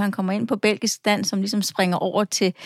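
A woman speaks with a Falster accent. The sound is dry and close, with no echo. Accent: Falster Danish. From Falster, Denmark. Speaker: podcast host. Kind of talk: casual chat. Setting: studio.

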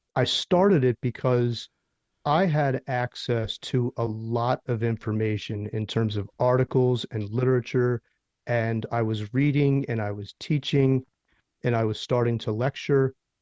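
Here a man with a plain, everyday voice speaks at a medium pitch and a fairly slow pace, with ordinary pitch variation. The sound is dry and close with no echo against a quiet background. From US Northeast, Philadelphia. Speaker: neuromonitoring professional and society leader. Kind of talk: interview.

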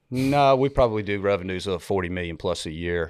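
Over a silent background in a very clean recording, a man speaks at a moderate pace with ordinary pitch variation. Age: 50s. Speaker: masonry business owner and flat track team owner. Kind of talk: casual chat.

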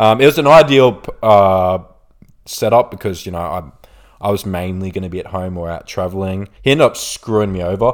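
In a very clean recording with a silent background, a man talks at a fairly quick pace with a fairly low pitch. His loudness swings widely, while his pitch variation is ordinary. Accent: Australian. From Australia. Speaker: influencer and podcast host. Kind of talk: casual storytelling chat.

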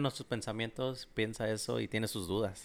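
An unremarkable speaking voice from a man, medium in pitch and at a moderate pace, on a very clean recording with a silent background. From Mexico, Guanajuato. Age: 20s. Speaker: electrician. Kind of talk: casual chat.

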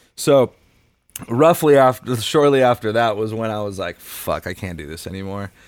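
Recorded very cleanly over a silent background, a man with an American accent speaks at a medium pitch and moderate pace, with big swings in loudness. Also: lively intonation. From US West Coast (Huntington Beach, Southern California). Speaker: singer and tour manager. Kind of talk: casual interview chat.

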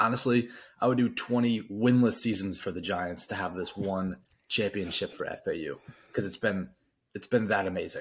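Fairly low in pitch, a man talks with an unremarkable speaking voice and fairly even intonation. He keeps a moderate pace on a very clean recording with a silent background. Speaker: football analyst, podcast guest. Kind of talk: casual chat.

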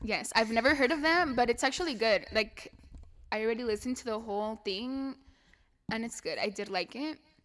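With a Mexican accent, a woman talks at a fairly quick pace. Her pitch is fairly high, with ordinary variation. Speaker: podcast host. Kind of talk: casual chat. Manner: casual, laughing.

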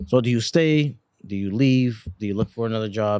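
A man with an ordinary speaking voice talks at a fairly quick pace at medium pitch, with ordinary pitch variation. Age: 40s. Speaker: tire and car shop worker. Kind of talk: casual chat.

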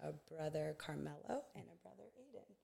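A woman speaks with an American accent. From US West Coast, Santa Barbara, California. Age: 20s. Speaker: basketball coach, former pro player. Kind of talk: casual interview.

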